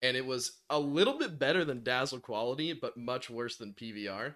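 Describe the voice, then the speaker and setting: A man with a normal speaking voice, medium pitch, ordinary pitch variation and a moderate pace against a quiet background. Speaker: gaming content creator. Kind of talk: casual podcast chat.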